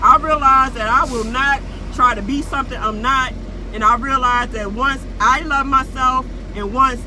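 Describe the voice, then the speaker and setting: Raising and projecting her high-pitched voice, a woman with a strong Baltimore accent speaks at a moderate pace with fairly even intonation, amid noticeable background noise and audible room echo. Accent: Baltimore accent, heavy. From Baltimore, Maryland, US. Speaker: YouTuber. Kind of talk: vlog monologue. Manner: casual, streetwise.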